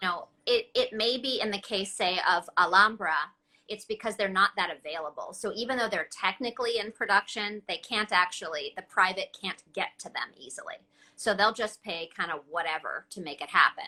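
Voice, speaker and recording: The voice has a bright, sharp tone and ordinary pitch variation. It moves at a moderate pace with big swings in loudness. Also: woman, medium pitch for a woman. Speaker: host and interviewer. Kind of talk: casual interview host questions.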